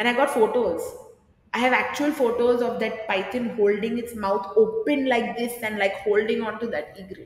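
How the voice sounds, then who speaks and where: A woman speaks at a moderate pace with a fairly high pitch and fairly even intonation. Room echo is audible. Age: 30s. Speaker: drama teacher; podcast guest, drama teacher. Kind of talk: casual interview. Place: studio.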